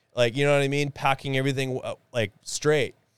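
This man speaks with a Canadian prairie accent. The recording is very clean with a silent background and a dry, close sound with no echo. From Winnipeg, Manitoba, Canada. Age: 30s. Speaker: podcaster and former bricklayer. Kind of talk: casual interview chat. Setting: studio. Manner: animated.

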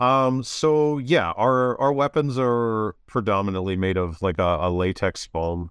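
A man's normal speaking voice at a medium pitch and a fairly slow pace. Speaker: LARP guild leader. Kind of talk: interview.

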